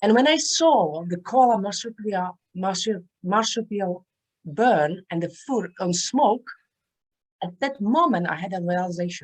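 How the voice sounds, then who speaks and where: Someone with a Czech accent talks at a fairly slow pace. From Czech Republic. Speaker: author and transformational speaker. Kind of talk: interview.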